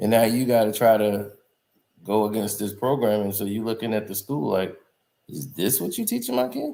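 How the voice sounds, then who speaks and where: With a dark, mellow tone, a man speaks at a fairly low pitch and moderate pace with ordinary pitch variation. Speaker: YouTube commentary host. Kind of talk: casual commentary monologue.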